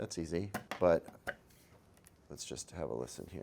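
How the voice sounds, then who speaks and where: Some vocal fry colors a man's speech at a moderate pace. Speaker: tech reviewer. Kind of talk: product review. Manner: animated.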